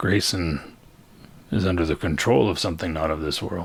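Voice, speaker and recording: Using a put-on character voice, a man speaks at a fairly quick pace in a raspy, very deep, low pitch. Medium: actual play. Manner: smooth, insinuating.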